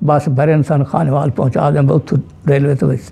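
A man speaks in a dark, mellow tone over a quiet background. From Multan district, Punjab, Pakistan. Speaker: Partition survivor. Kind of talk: interview answer. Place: home room.

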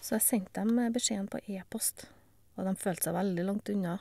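Her voice dark, mellow and somewhat breathy, a woman speaks at a medium pitch with fairly even intonation. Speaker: cancer patient. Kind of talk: testimony.

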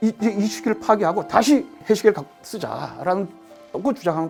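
Over music in the background, a man speaks high in pitch with very wide pitch swings. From Sokcho, South Korea. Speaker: radio drama writer. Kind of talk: interview answer.

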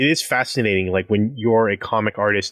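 This man has an ordinary speaking voice, fairly low in pitch. He keeps a moderate pace and fairly even intonation. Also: dry, close sound with no echo. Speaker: podcast host. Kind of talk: casual chat. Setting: remote recording at home. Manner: joking, playful.

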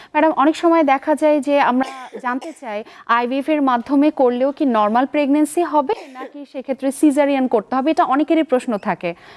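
Over noticeable background noise, a woman speaks at a high pitch with ordinary pitch variation in a dry, close sound with no echo. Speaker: TV health show host, doctor. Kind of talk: live TV presenting. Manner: formal.

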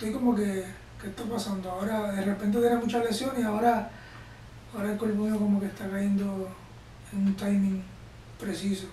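A high-pitched man talks at a fairly quick pace in a monotone, flat way, with long, frequent pauses. Audible room echo and light background noise are present. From Puerto Rico. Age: 30s. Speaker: Olympic wrestler. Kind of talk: interview. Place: home room.

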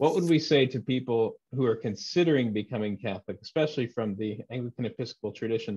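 Against a quiet background, a man with a somewhat breathy, dark, mellow voice talks very fast with hardly any pauses and ordinary pitch variation. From Texas. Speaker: interviewer, former Anglican priest. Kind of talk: interview. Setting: video call. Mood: thoughtful, friendly. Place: home room. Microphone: video call.

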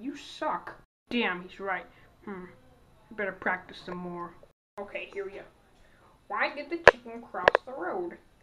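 A woman speaks at a fairly slow pace with lively intonation, long and frequent pauses, and big swings in loudness.

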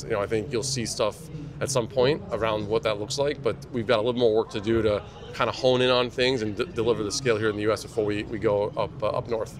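Clear background noise sits behind a man talking fast at a fairly low pitch with fairly even intonation.

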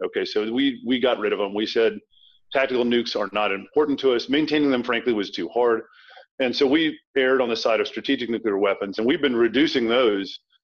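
Against a quiet background, a man with an American accent talks at a very fast pace. His pitch is medium, with ordinary variation. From US South, Tidewater Virginia (Norfolk). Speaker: thriller author, former military officer. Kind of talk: interview. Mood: relaxed, matter-of-fact. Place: home room. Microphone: webcam.

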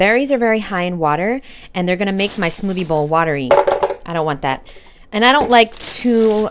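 Loud background noise fills the recording. The talking goes at a fairly quick clip. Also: woman. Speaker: vegan recipe vlogger. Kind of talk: casual cooking tutorial. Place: kitchen. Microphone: phone near.

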